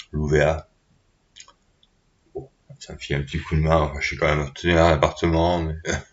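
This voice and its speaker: His pitch is very deep and low, with vocal fry. The man keeps a monotone, flat intonation. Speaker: vlogger. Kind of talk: casual monologue. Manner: halting.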